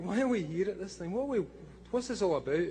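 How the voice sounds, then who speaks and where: A man talks with lively intonation in a Scottish accent. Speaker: comic book writer giving a talk. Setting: stage, speaking to a live audience. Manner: casual, profane, conversational.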